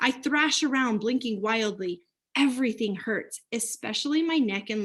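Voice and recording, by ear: Someone reads aloud in a natural-sounding voice, with silence behind them.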